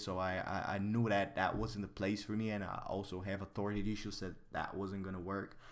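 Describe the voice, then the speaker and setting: At a moderate pace, a man with a fairly low voice speaks amid audible room echo. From Bulgaria. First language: Bulgarian. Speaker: artist and streamer. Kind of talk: casual livestream chat. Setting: livestream.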